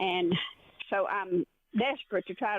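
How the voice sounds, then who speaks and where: Someone with a Southern US accent talks at a fairly slow pace. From Arkansas. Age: 70s. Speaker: caller. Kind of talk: voicemail question. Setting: phone voicemail.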